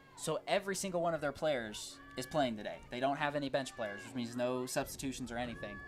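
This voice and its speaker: A man at a medium pitch and very fast pace, with ordinary pitch variation, hardly any pauses and music in the background. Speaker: sports commentator. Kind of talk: live commentary.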